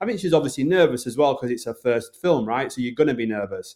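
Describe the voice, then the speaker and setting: In a Northern English accent, a man speaks at a fairly high pitch. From Bradford, Yorkshire, northern England. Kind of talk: interview.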